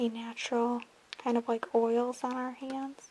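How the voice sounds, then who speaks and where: Soft-spoken and at a very slow pace, the voice comes with noticeable background noise. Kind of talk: ASMR soft-spoken talk to camera.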